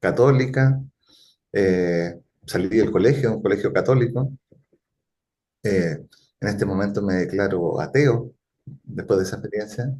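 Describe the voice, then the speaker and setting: Pausing long and often, a man with a Chilean accent speaks fairly slowly in a dark, mellow, fairly low voice with ordinary pitch variation. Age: 50s. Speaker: futurist and consultant. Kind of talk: interview conversation.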